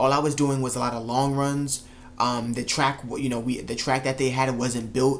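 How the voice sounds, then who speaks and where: Fairly quick male speech in a flat, monotone delivery. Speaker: track coach vlogger. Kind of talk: casual vlog storytelling. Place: home room. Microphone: camera far.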